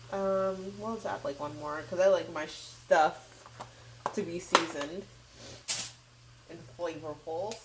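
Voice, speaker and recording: There is noticeable background noise as a woman speaks at a fairly low pitch and a fairly slow pace. Her loudness swings widely, and her pauses are long and frequent. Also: ordinary pitch variation. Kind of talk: casual cooking tutorial to camera. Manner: casual, chatty.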